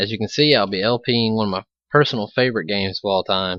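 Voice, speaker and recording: This man speaks with an Alabama accent at a fairly low pitch. His pace is fairly quick, with ordinary pitch variation. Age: 20s. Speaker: gaming video creator. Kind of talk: let's play commentary.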